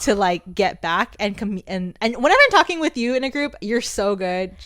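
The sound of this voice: A soft-spoken woman talks at a moderate pace with a medium pitch. Her intonation is lively and her tone fairly bright.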